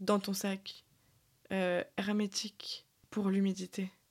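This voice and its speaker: The woman speaks at a very slow pace with a medium pitch. The recording is very clean, with a silent background. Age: 20s. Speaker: podcast host. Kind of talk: casual chat. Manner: casual, hesitant with fillers.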